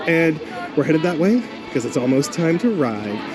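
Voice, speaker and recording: Noticeable background noise and audible room echo surround a man speaking at a moderate pace. His voice is high-pitched, with lively intonation. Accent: American. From Baltimore, US Mid-Atlantic. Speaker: radio host and podcaster. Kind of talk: casual vlog chat. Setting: outdoors at a theme park.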